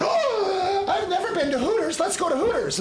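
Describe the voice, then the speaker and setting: A squeaky put-on character voice speaks at a moderate pace in an excited tone. Loud background noise runs underneath. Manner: excited, chirpy.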